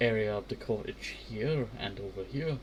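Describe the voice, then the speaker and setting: Over noticeable background noise, a soft-spoken man talks. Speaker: Minecraft let's play streamer. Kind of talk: casual gameplay commentary.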